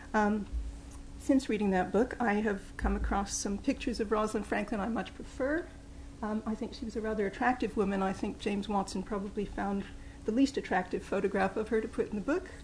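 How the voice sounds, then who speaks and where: Talking at a very fast pace, a woman with a slight Mid-Atlantic accent uses a fairly high pitch and ordinary pitch variation. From New York, English parents. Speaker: professor. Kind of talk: lecture.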